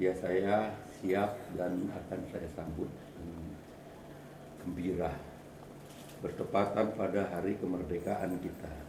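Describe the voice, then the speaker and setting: Through noticeable background noise and audible room echo, a man speaks at a very slow pace in a very deep, low pitch, with fairly even intonation and long, frequent pauses. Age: 70s. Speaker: activist and former journalist. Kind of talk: speech at community meeting.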